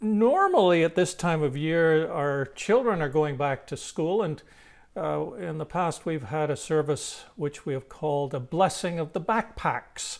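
A man at a fairly slow pace with ordinary pitch variation, over a quiet background. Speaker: minister. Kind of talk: welcome address for an online service. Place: home room. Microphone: lapel.

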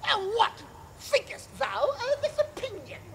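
Clear background noise sits behind a put-on character voice that is extremely high in pitch and fairly slow in pace. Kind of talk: stage Shakespeare acting, comic. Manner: mock-solemn, playful.

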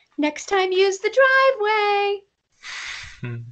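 This female-sounding cartoonish character voice is squeaky and pitched extremely high for a woman. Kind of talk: cartoon dub voice. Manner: sweet, caring, gently scolding. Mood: playful, joking.

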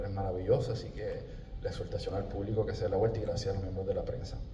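Audible room echo and light background noise around a man's voice. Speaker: stage actor. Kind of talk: press conference remarks. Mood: joyful, proud. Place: stage.

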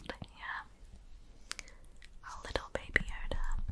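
Someone whispers at a very slow pace. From United Kingdom. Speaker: ASMR creator. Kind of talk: ASMR roleplay. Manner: whispered; soft-spoken, slow.

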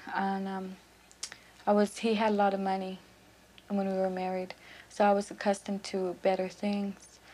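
In a dark, mellow tone, a woman talks at a moderate pace with monotone, flat intonation. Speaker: prison inmate. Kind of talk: interview testimony. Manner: halting, hesitant. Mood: reflective, subdued. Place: home room.

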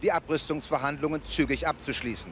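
Over light background noise, a man talks at a fairly quick pace in an ordinary speaking voice with a fairly high pitch, and the sound is dry with no echo. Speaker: news correspondent reporting. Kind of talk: television news report voiceover. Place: street. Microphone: handheld.

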